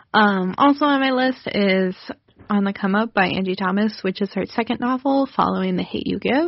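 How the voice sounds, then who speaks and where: Ordinary pitch variation runs through a woman's speech. Her voice sits at a medium pitch. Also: moderate pace. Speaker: pop culture podcast co-host. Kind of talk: casual chat. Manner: animated.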